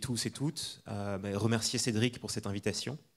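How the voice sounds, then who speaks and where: A man with a fairly low pitch speaks at a moderate pace in an ordinary speaking voice. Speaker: architect. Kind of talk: lecture. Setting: lecture hall with audience.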